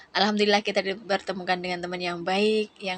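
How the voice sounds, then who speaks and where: A woman talks at a medium pitch and a moderate pace, her intonation monotone and flat. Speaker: vlogger, domestic worker abroad. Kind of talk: vlog voiceover narration.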